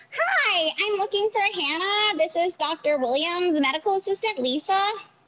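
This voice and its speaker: Putting on a squeaky character voice, a woman speaks at a moderate pace with an extremely high pitch. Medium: stage play. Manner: brisk, upbeat.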